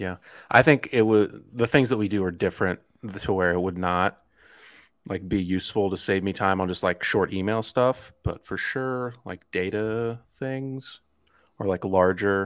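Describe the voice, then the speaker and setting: A man with an unremarkable speaking voice talks at a fairly low pitch with ordinary pitch variation. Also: moderate pace, very clean recording, silent background. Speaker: podcast co-host. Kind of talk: casual comedic banter.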